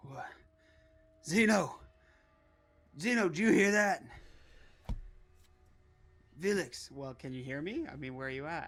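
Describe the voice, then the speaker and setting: A man's put-on, raspy character voice, high in pitch and shouting, with lively intonation, big swings in loudness and a moderate pace. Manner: shouting to be heard.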